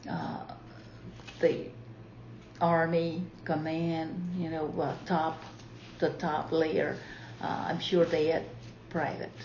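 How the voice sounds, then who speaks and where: Noticeable background noise sits behind a woman with a fairly low pitch and monotone, flat intonation. She talks at a very slow pace with long, frequent pauses. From Marshall Islands. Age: 70s. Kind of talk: interview answer. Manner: hesitant, many fillers.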